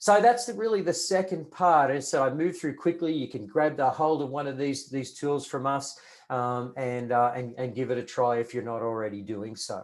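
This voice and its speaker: Hardly pausing, a man speaks with lively intonation at a fairly high pitch. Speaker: retail consultant, merchandise planner. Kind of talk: webinar presentation. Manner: fast; many fillers and repetitions.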